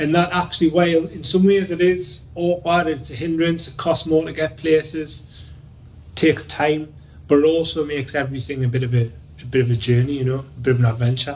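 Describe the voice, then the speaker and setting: At a fairly quick pace, a man speaks somewhat breathily with ordinary pitch variation. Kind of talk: interview answer. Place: office.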